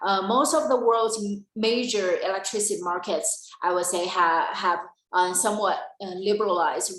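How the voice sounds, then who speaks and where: A woman speaks at a medium pitch with fairly even intonation. There is audible room echo. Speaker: energy policy presenter. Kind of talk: webinar presentation. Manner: halting.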